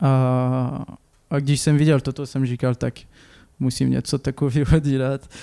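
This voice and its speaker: Speaking very slowly, a man has a dark, mellow tone and flat, monotone intonation, recorded with a dry, close sound and no echo. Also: medium pitch for a man. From France, Clermont-Ferrand. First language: French (speaking Czech). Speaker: painter. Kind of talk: interview. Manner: halting.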